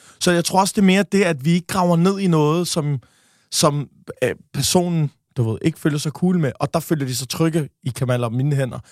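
Speaking at a moderate pace, a man has an ordinary speaking voice with fairly high pitch. His ordinary pitch variation comes through dry and close with no echo. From Denmark. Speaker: podcaster. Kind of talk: casual interview.

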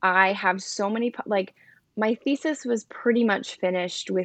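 A woman with an American accent and an ordinary speaking voice talks at a fairly slow pace with fairly even intonation, the sound dry and close with no echo against a quiet background. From South Jersey, near Philadelphia. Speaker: writer and poet. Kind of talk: casual interview.

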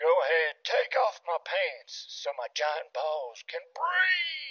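Very slow pace in a put-on character voice from a man. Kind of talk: bawdy, comic.

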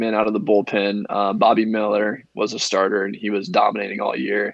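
Here a man has a plain, everyday voice at medium pitch. He talks at a moderate pace. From Indiana, near the Ohio border. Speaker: professional baseball pitcher. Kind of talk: casual interview.

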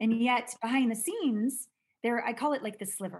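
A woman's somewhat breathy voice, fairly high in pitch with ordinary variation. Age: 50s. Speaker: intimacy expert. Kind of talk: casual chat.

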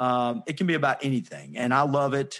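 Against a quiet background, a man speaks with a Southern US accent. His pace is fairly quick. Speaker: podcaster and sales consultant. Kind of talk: casual interview chat.

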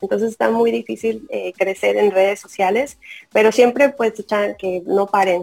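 An unremarkable speaking voice from a woman, medium in pitch, at a fairly slow pace. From Tamaulipas border, Mexico. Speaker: football fan and social media figure. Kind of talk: interview.

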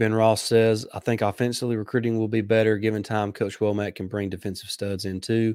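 A man with a Southern US accent speaks at a fairly quick pace with hardly any pauses. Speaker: sports podcast host. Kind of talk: live sports talk show. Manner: hesitant, many fillers.

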